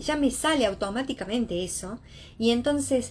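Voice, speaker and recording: A woman speaks in a fairly high, somewhat breathy voice. Her intonation is lively. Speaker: psychologist. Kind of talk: lecture.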